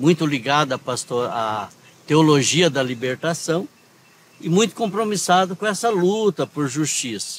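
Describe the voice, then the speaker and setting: At a fairly slow pace, a man with an unremarkable speaking voice talks in a fairly high pitch with lively intonation. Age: 60s. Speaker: former union leader and activist. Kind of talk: interview. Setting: outdoors in a town square.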